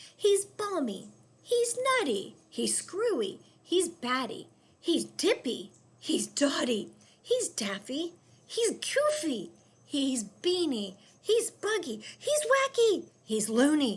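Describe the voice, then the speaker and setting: Shouting in a put-on character voice, a woman goes very slowly at an extremely high pitch with very wide pitch swings. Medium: read story.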